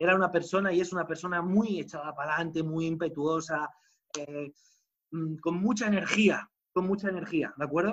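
Fairly even intonation at a fairly quick pace. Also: man, high pitch for a man. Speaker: network marketing speaker. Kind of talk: motivational talk.

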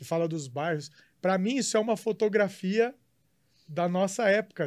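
The man's voice is high, with lively intonation. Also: very clean recording, silent background. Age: 30s. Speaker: podcast co-host. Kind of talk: casual chat.

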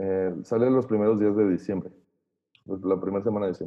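Speaking at a fairly quick pace, a man uses an unremarkable speaking voice with a fairly low pitch and fairly even intonation. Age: 20s. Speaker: audio engineer. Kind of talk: casual chat.

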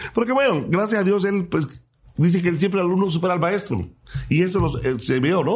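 Here a man speaks at high pitch with lively intonation. His pace is fairly quick and his loudness very even. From Mexico, Chiapas (Cintalapa). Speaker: singer-songwriter. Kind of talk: interview.

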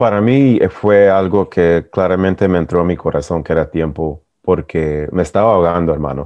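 A man talks at a moderate pace. His voice is very deep, with a very low pitch. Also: ordinary pitch variation, hardly any pauses. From US, born in El Salvador. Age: 40s. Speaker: men's support group member. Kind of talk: personal testimony.

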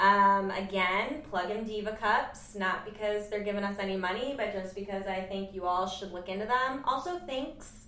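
A woman with an American accent talks at a moderate pace with ordinary pitch variation. Audible room echo and noticeable background noise fill the recording. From US Northeast (western New York). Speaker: podcast host. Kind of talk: casual chat.

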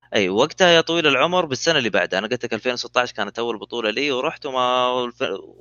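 Here a man talks at a very fast pace. His medium pitch shows ordinary variation. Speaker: esports gamer. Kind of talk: casual chat.

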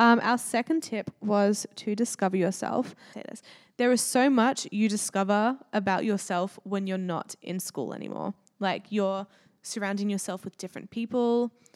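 A woman at medium pitch with an Australian accent, ordinary pitch variation, a moderate pace and big swings in loudness, in a very clean recording with a silent background and a dry, close sound with no echo. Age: 20s. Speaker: podcast co-host. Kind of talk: casual chat.

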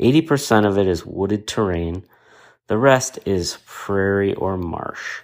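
In a very clean recording with a silent background, a man with an American accent and a plain, everyday voice speaks at a fairly slow pace, his fairly low pitch showing ordinary variation. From Wisconsin, La Crosse. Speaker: ultrarunner. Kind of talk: race report monologue.

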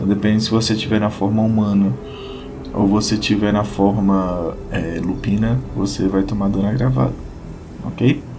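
A man's fairly low voice at a moderate pace, ordinary pitch variation and very even loudness, with audible room echo and music in the background. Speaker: podcast host and RPG game master. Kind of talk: solo explanatory podcast. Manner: casual and chatty.

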